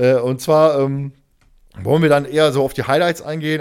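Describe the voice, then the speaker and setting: At a moderate pace, a man talks in a plain, everyday voice pitched fairly high. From Ruhr area, Germany. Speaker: podcast host. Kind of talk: casual chat.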